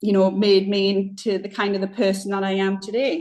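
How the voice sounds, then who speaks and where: A woman's medium-pitched voice at a moderate pace, with a Northeast English accent. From Northeast England. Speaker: football club chair, businesswoman. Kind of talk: podcast interview.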